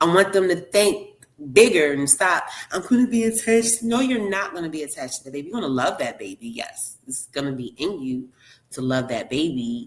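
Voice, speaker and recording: A woman with a Baltimore accent talks at a fairly quick pace. She sounds animated, with very wide pitch swings. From Baltimore, Maryland, US. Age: 40s. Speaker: surrogate mother. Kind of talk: casual interview.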